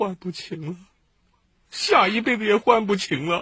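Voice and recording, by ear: Doing a put-on character voice, a man speaks at a moderate pace with a high pitch and ordinary pitch variation. The tone is bright and sharp, with a husky, rough edge.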